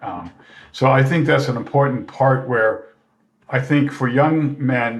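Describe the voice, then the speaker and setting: Somewhat breathy, a man talks at a fairly slow pace with audible room echo. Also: medium pitch for a man. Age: 60s. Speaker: retired professor and mentor. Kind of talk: casual chat.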